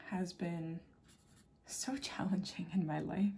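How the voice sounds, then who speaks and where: Somewhat breathy and medium in pitch, a woman talks at a very slow pace with ordinary pitch variation. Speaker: watercolor artist. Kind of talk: casual chat. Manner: casual, with many fillers.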